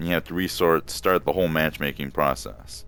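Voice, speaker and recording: A man talks at a fairly slow pace with a very deep, low pitch. Music plays in the background. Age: middle-aged. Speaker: gamer, game reviewer. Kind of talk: casual talk to camera.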